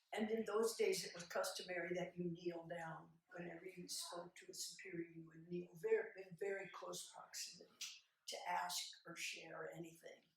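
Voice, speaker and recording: Speaking at a moderate pace, a woman's voice swings widely in loudness against audible room echo. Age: 70s. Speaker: abuse survivor and advocate. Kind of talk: talk at a conference. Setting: stage with audience. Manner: halting.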